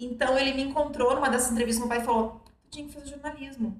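A woman's high voice at a fairly quick pace, with audible room echo. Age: 40s. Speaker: journalist. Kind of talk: casual interview chat.

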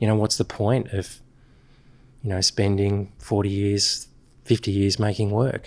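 A man speaks at a moderate pace. His voice sits fairly low. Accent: Australian. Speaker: graphic designer, creative director. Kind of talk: casual interview.

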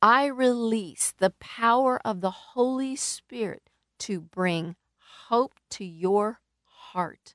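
A woman with a fairly high pitch and ordinary pitch variation talks at a very slow pace, the sound dry and close with no echo. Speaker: radio preacher. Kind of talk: sermon; fervent prayer. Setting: radio broadcast. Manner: earnest, pleading, impassioned; flowing, rhythmic, with heartfelt emphasis.

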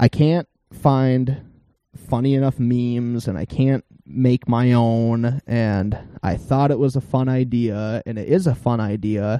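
A man's dark, mellow voice at medium pitch, with ordinary pitch variation and a fairly slow pace, in a dry, close sound with no echo. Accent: Minnesota. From northern Minnesota, Iron Range. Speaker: podcast host. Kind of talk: casual podcast chat. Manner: animated.

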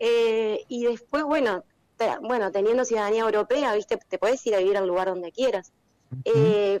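A woman speaks at a moderate pace with a fairly high pitch, ordinary pitch variation and very even loudness, in a dry, close sound with no echo. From Uruguay. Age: 30s. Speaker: winemaker. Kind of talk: casual interview.

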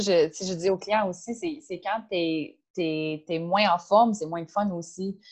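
This woman has a plain, everyday voice with a medium pitch and fairly even intonation. The background is quiet. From Ontario, outside Toronto. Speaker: CrossFit coach and nutritionist. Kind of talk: casual interview.

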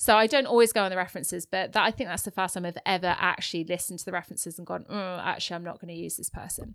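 A woman talks at a very fast pace with hardly any pauses, her medium pitch showing ordinary variation and her loudness swinging widely, all in a very clean recording with a silent background. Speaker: property investor and podcast co-host. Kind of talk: casual chat. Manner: laughs often.

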